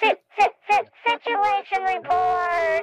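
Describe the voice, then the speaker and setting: The speaker uses a put-on character voice with an extremely high pitch. The delivery comes at a very slow pace. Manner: dramatic, epic.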